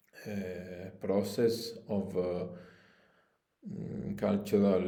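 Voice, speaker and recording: A man speaks at a very slow pace in a very deep, low pitch with a dark, mellow tone, and audible room echo surrounds him. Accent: Italian. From Italy. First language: Italian. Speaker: spiritual coach and shamanic practitioner. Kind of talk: promotional video appeal. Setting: his holistic studio. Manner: halting, many fillers.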